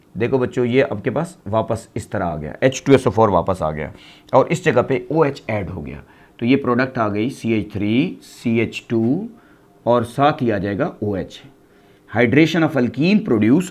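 A man speaks at a slow pace. His intonation is lively.

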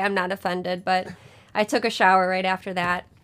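A woman at a fairly quick pace, over a quiet background. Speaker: livestream host. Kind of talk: casual livestream chat. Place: home room.

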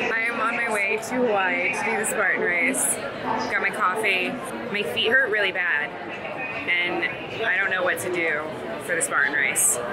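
Over loud background noise, a woman speaks at a moderate pace with ordinary pitch variation and long, frequent pauses. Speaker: vlogger. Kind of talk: casual vlog chat. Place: station. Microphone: phone near.

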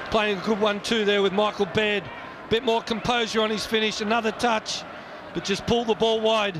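Noticeable background noise sits under a man's high-pitched, monotone voice with flat intonation and very even loudness. His pace is fairly quick and his tone relaxed. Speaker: football co-commentator. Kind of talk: live sports co-commentary. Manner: relaxed analytical, conversational.

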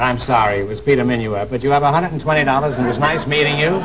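A man talks at a very fast pace against loud background noise. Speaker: quiz show host. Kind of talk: game show hosting. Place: stage.

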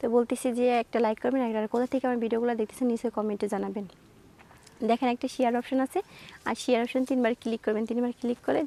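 In a dry, close sound with no echo, a woman speaks at a high pitch with fairly even intonation. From Bangladesh, Rajshahi. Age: 20s. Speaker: interviewee seeking a husband. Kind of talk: interview.

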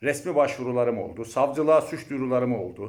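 The man's voice shows vocal fry. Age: 50s. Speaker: university lecturer and mayoral candidate. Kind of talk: campaign speech.

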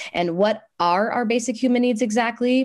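A woman's enthusiastic tone at a fairly slow pace, with faint music in the background. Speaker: nonprofit program staff. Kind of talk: presentation. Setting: video call. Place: home room. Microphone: video call.

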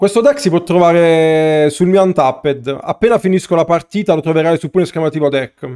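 A man with a high pitch and a dark, mellow tone speaks fairly quickly, hardly pausing at all. His pitch varies in an ordinary way against a quiet background. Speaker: streamer, card game player; streamer. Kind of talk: live stream gameplay chat. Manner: casual, conversational. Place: home room.

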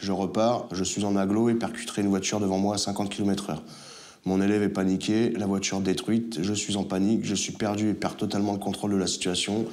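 The delivery has monotone, flat intonation and very even loudness. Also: man, fairly low pitch for a man, fairly quick pace. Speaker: driving instructor in addiction recovery. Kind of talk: testimony; reading aloud. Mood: remorseful, emotional. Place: home room.

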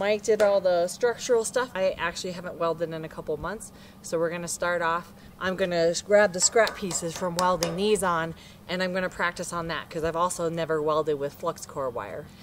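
In a normal speaking voice, a woman talks at a fairly quick pace with a fairly low pitch and fairly even intonation, over light background noise. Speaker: diy builder vlogger. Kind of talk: casual vlog chat. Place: open country.

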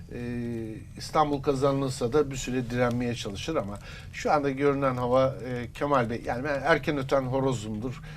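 Fairly even intonation from a man at a moderate pace, with audible room echo. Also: medium pitch for a man. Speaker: political commentator. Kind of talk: political interview analysis.

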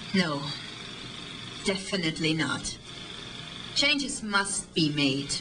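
A woman with a German accent, medium in pitch, very slow, with very wide pitch swings over noticeable background noise. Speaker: actress. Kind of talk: film scene dialogue.

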